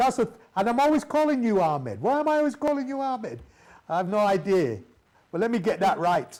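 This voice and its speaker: With a Mancunian accent, a man talks at a fairly quick pace. His high voice swings very widely in pitch. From Manchester, northern England. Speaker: radio host. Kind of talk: interview. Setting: live TV broadcast. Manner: halting, many fillers.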